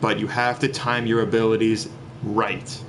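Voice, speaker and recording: Noticeable noise sits in the background. Over it, a man speaks at a moderate speed. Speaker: gaming video creator. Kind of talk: game guide commentary. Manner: halting, with frequent fillers and repeats.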